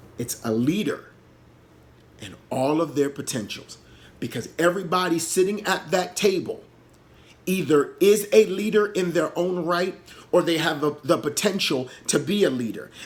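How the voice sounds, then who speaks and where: Pitched high, a man talks at a moderate pace with lively intonation. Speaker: leadership speaker. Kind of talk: motivational talk. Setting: solo pre-recorded video. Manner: halting.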